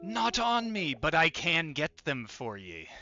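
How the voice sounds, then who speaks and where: The speaker uses a put-on character voice at a fairly slow pace. Loudness swings a lot, and pitch swings very widely. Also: man, fairly high pitch for a man. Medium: actual play. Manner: folksy, obliging.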